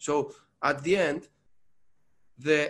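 Very slow speech from a man with a Greek accent, fairly high pitch and fairly even intonation. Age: 30s. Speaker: barista champion. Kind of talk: interview.

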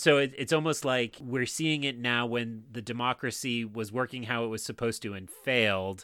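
Speaking at a moderate pace with hardly any pauses, a man uses a medium pitch and fairly even intonation. His tone is bright and sharp, on a very clean recording with a silent background. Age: 30s. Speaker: podcast guest, Star Wars book fan. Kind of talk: casual chat.

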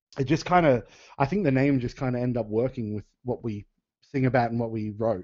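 Speaking at a fairly quick pace in an Australian accent, a man with medium pitch shows ordinary pitch variation. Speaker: professional wrestler and musician. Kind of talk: casual chat.

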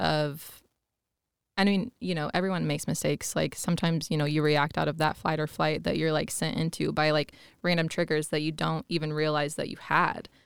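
Very deep and low in pitch, a woman speaks at a moderate pace with fairly even intonation in a very clean recording with a silent background. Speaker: astrologer. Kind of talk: casual interview.

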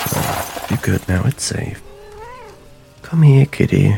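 Speech comes at a very slow pace with lively intonation. Noticeable background noise is present. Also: man. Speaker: actor playing a detective. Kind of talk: noir detective narration, brooding confessional monologue to a cat. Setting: home, rainy night, talking to a pet cat. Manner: rueful, wistful, grief-heavy.

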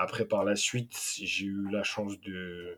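A man speaks at a fairly low pitch with flat, monotone intonation. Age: 20s. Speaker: youth football coach. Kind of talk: interview. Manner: hesitant.

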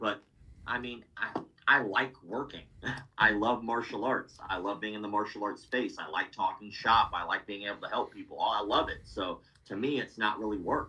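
A man speaks at a moderate pace with fairly low pitch. His tone is bright and sharp, with ordinary pitch variation.

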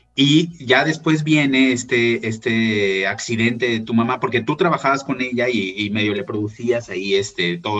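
Speaking at a medium pitch, a man is heard through noticeable background noise. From Mexico. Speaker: podcast host. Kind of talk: interview conversation.

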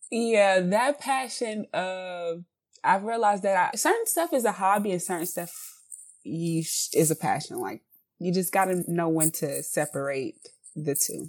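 A woman with an American accent speaks fairly slowly at a medium pitch, her intonation lively, in a very clean recording with a silent background. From South Carolina (Columbia). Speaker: candle business owner. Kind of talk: interview.

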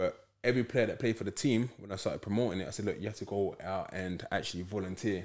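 A man with a London accent, fairly low-pitched, very fast and with hardly any pauses, in a fairly even intonation. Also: very clean recording, silent background. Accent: London Multicultural English. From south London, Peckham. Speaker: football club founder. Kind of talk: casual interview chat.

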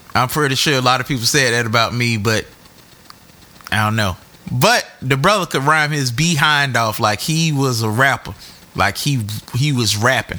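Noticeable background noise fills this recording of a man at a medium pitch. He uses ordinary pitch variation and leaves long, frequent pauses. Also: moderate pace. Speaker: podcast host. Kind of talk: podcast hosting, casual chat. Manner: animated.

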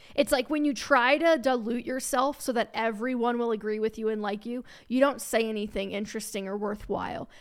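With an American accent and a plain, everyday voice, the speaker moves at a fairly quick pace with hardly any pauses and fairly even intonation. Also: woman, fairly high pitch for a woman. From Cincinnati area (northern Kentucky suburb), US Midwest. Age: 20s. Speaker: personal finance podcaster and writer. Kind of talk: casual interview chat.

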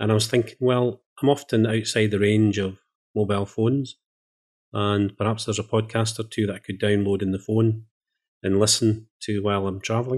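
A man's fairly low voice in a Scottish accent, monotone and flat in intonation, at a fairly quick pace. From Scotland. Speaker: podcast producer. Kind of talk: casual interview chat. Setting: remote recording, another time zone.

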